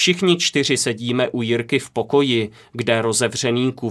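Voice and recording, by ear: A passage is read aloud in a natural voice.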